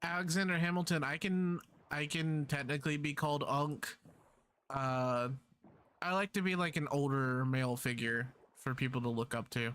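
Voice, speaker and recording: With long, frequent pauses, a man talks at a moderate pace and a fairly high pitch, keeping very even loudness and ordinary pitch variation. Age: 20s. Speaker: gaming streamer. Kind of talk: casual live-stream chat.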